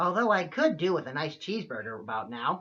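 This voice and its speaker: Someone does a put-on character voice at a middle pitch and a fairly quick pace. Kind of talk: comic overacting. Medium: comedy sketch. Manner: hesitant, bumbling.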